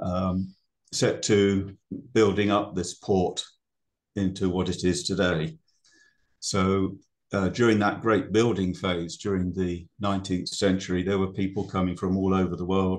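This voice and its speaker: A man with a British accent speaks at a very deep, low pitch and a fairly slow pace. His intonation is monotone and flat against a quiet background. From Britain. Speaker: ecologist. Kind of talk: presentation. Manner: hesitant, many fillers.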